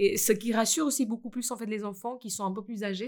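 Speech comes at a very fast pace with fairly even intonation. The recording is very clean, with a silent background. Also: woman. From India. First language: Indian language (Hindi/Marathi) (speaking French). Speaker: school founder and language teacher. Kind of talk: casual chat.

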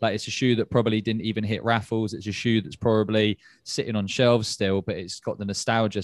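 With a British accent, a man speaks at a fairly quick pace in a fairly low pitch, recorded dry and close with no echo. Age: 20s. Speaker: podcast host. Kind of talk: casual chat. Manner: animated.

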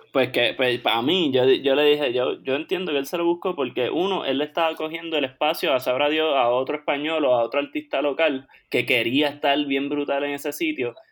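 An ordinary speaking voice from a man, fairly high in pitch, at a fairly quick pace with hardly any pauses and fairly even intonation. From Puerto Rico, Caguas. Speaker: podcast co-host, chiropractic student. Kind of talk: casual chat.

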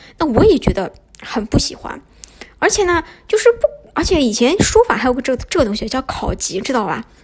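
At a fairly quick pace, a woman talks in a high pitch with very wide pitch swings. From Shanghai, China. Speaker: podcast host. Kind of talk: casual monologue. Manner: hesitant, many fillers.

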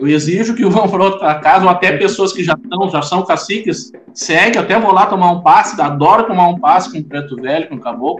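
A high-pitched man at a fairly quick pace, hardly any pauses, and noticeable background noise. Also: ordinary pitch variation. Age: 40s. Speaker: Afro-Brazilian religious leader. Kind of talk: interview.

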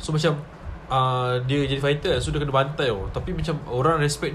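The man's pitch sits fairly high, and he speaks at a moderate pace. Audible echo fills the room. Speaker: podcast guest. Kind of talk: casual chat. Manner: animated, laughing often.

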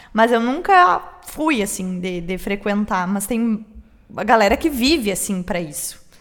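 Fairly slow speech from a woman at medium pitch, with lively intonation and a Porto Alegre accent, over noticeable background noise. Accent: gaúcho Porto Alegre Portuguese. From Rio Grande do Sul, Brazil. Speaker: podcast co-host. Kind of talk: casual chat.

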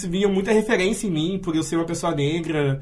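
A man speaks with fairly even intonation. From Santa Cruz do Sul, Rio Grande do Sul, Brazil. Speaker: literature student and activist. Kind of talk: radio interview.

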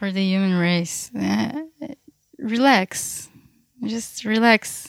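Her pitch medium and its variation ordinary, a woman speaks at a very slow pace with long, frequent pauses. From Israel, Beersheba. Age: 30s. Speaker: activist and youth worker. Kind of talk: casual chat. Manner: halting.

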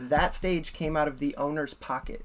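A man with an American accent talks at a moderate pace. He has an ordinary speaking voice, fairly high in pitch. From US Midwest, Ames, Iowa. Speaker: hip hop musician. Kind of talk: casual interview.

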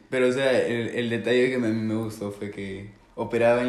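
A man at a fairly quick pace, with monotone, flat intonation. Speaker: podcast co-host. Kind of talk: casual storytelling.

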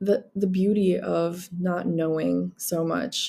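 A woman speaks with a Filipino accent. Her pace is very slow. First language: Tagalog. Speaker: podcast host. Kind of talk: casual solo monologue.

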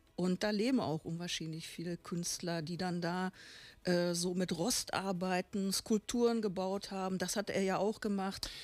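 A woman speaks at a fairly slow pace in an ordinary speaking voice, her medium pitch carried by fairly even intonation. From Bochum, Ruhr area, Germany. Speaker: painter, artist.

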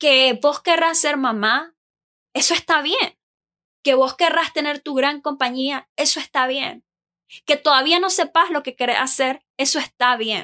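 Raised and projected, a woman's high, bright, sharp voice moves at a fairly slow pace with ordinary pitch variation in a dry, close sound with no echo. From Nicaragua. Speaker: podcast host. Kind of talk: casual monologue. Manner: animated.

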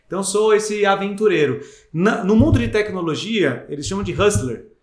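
Audible room echo surrounds a man speaking at a high pitch with lively intonation. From Greater ABC region, São Paulo, Brazil. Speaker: business executive. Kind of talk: interview.

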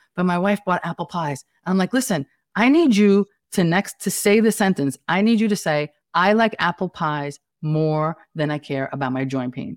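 In a very clean recording with a silent background, a woman with an American accent talks at a moderate pace in a fairly low pitch with lively intonation. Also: dry, close sound with no echo. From Staten Island, New York City. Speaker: family nurse practitioner and entrepreneur. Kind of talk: casual interview conversation.

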